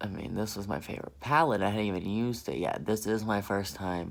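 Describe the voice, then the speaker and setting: The man's pitch is fairly low. He has an American accent. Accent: southern accent, comes out now and then. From US South. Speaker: beauty vlogger. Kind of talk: makeup tutorial. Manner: animated.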